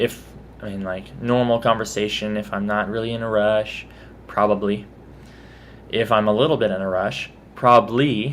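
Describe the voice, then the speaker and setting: A man with a Texas accent talks at a moderate pace, using ordinary pitch variation and long, frequent pauses. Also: fairly low pitch for a man. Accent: mild Texas. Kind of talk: accent tag video, casual talk to camera. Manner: casual, chatty.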